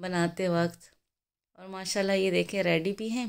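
Monotone, flat intonation marks this woman's medium-pitched voice. The recording is very clean with a silent background. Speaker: cooking vlogger. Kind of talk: cooking tutorial. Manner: chatty.

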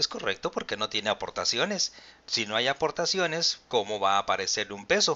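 In a Mexican accent, a man speaks at a fairly quick pace with a fairly high pitch and very wide pitch swings. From Mexico. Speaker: pension advisor and channel host. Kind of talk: live-stream Q&A and explainer. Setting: live video stream. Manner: formal. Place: home room.

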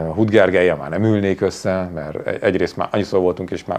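Very deep, low pitch marks this man's voice. He talks at a fairly quick pace. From Hungary. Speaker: journalist and TV presenter; interview guest. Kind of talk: interview conversation. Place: studio.

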